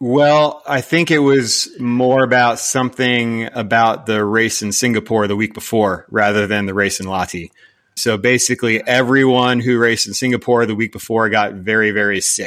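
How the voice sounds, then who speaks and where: On a very clean recording with a silent background, a man at medium pitch speaks at a moderate pace with fairly even intonation and hardly any pauses, in an unremarkable speaking voice. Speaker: engineer and product designer. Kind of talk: interview explaining technical design.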